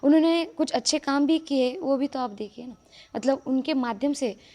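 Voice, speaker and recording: At a moderate pace, a woman speaks with a high pitch and a dark, mellow tone. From Maharashtra, India. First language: Marathi (speaking Hindi). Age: young. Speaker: religious storyteller. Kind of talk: interview.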